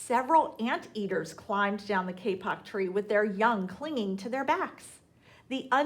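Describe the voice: Simple, plain reading aloud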